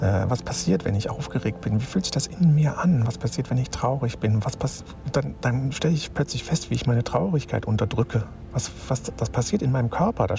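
Over noticeable background noise, a man talks at a fairly quick pace with a medium pitch. His intonation is lively and his loudness very even. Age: 50s. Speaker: spiritual self-help podcaster. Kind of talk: spontaneous reflective monologue. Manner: halting, with filler sounds.

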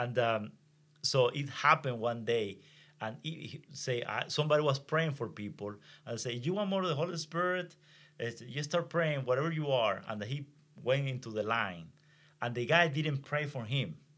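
With a Venezuelan accent, a man at medium pitch talks at a moderate pace in a bright, sharp tone with lively intonation, on a very clean recording with a silent background. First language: Spanish. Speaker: pastor. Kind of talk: testimony. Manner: halting.

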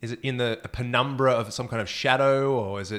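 In a plain, everyday voice, a man of medium pitch talks at a moderate pace with fairly even intonation. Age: 30s. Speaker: science podcast co-host. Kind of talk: casual chat.

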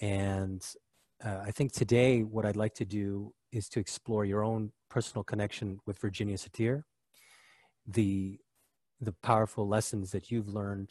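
Recorded dry and close with no echo against a quiet background, a man speaks fairly slowly in a fairly low, monotone, flat voice. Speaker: podcast host. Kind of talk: interview conversation.

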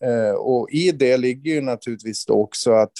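A man's dark, mellow voice at medium pitch and a fairly slow pace, with fairly even intonation and a dry, close sound with no echo. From northern Sweden inland (Norrland). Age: 50s. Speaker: police officer and author. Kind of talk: interview. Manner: halting.

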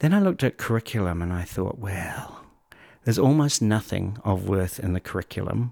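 On a very clean recording with a silent background and a dry, close sound with no echo, a man speaks at a fairly low pitch with ordinary pitch variation. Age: 50s. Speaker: educator. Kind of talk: interview conversation. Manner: animated.

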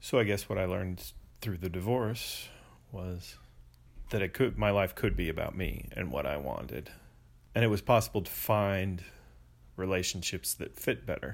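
At a moderate pace, a man with a very deep, low pitch and vocal fry uses lively intonation and takes long, frequent pauses. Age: 40s. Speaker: podcast co-host interviewed as guest. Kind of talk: interview.

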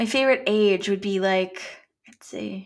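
A woman's plain, everyday voice with a Canadian accent, medium pitch and ordinary pitch variation at a moderate pace, in a very clean recording with a silent background. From Canada. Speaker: actor. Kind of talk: casual chat.

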